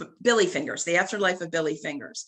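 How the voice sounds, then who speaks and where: A woman speaks at a fairly low pitch. Her voice carries vocal fry. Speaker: psychic medium. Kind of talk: casual chat.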